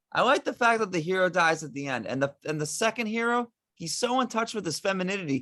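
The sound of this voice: Behind the voice, the background stays quiet. It is an unforced reading voice.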